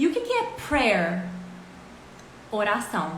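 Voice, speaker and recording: A woman in an animated tone with lively intonation, amid audible room echo and noticeable background noise. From Brazil, interior of Minas Gerais. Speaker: English teacher. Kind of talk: online English lesson livestream. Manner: animated, many filler words.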